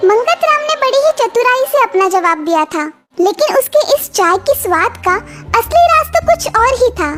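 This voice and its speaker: At a moderate pace, a cartoonish character voice at an extremely high pitch plays over faint music in the background. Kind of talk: moral cartoon storytelling.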